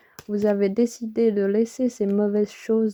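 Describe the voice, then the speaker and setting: A soft-spoken woman's fairly high voice with a dark, mellow tone, dry and close with no echo. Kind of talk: tarot reading. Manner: hesitant with fillers. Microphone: close to the microphone.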